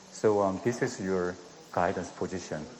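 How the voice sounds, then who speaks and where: In a Korean accent, a man speaks at a moderate pace and fairly low pitch. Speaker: dentist performing live surgery demonstration. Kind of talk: live surgical demonstration commentary. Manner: soft-spoken; halting. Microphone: too quiet.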